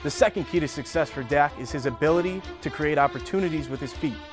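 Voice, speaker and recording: Music plays in the background as a man talks very fast at a fairly high pitch, with ordinary pitch variation. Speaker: sports anchor and reporter. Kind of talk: sports news anchor read.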